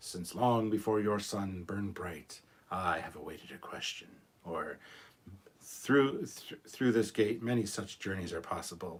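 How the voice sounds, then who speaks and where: A man uses a put-on character voice that booms. His pitch is fairly low and his pace moderate. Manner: ancient, grand, portentous.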